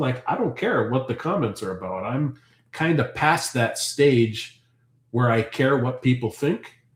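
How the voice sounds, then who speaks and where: Somewhat breathy, a man talks at a fairly slow pace with a medium pitch and ordinary pitch variation. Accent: Canadian. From Ontario, Canada. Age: 40s. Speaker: homesteader and farm channel host. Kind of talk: casual livestream chat reading comments. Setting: live stream. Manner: animated.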